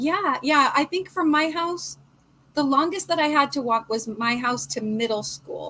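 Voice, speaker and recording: A woman's raised, projected voice with a West Coast accent, high in pitch and bright and sharp in tone, with lively intonation at a fairly slow pace. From Portland. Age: 50s. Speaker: crochet livestream host. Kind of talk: casual chat.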